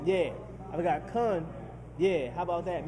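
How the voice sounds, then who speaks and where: Moderate pace, with noticeable background noise and audible room echo. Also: man. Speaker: mix show host. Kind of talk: casual show monologue. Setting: restaurant/bar venue. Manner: stuttering, hesitant.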